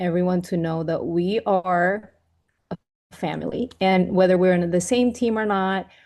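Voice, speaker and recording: A woman with a Venezuelan accent speaks at a medium pitch, her tone dark and mellow and her intonation fairly even. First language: Spanish. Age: 40s. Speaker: network marketing leader, former chef. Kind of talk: team training talk. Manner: halting, with restarts.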